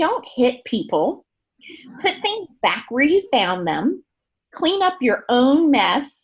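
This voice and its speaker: Speaking with a slight Southern US accent, a woman has a high pitch and very wide pitch swings. Her pace is very slow and her loudness very even. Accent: slight Southern twang. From US South, Gulf Coast of Alabama. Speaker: beauty products trainer. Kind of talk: training presentation. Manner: animated.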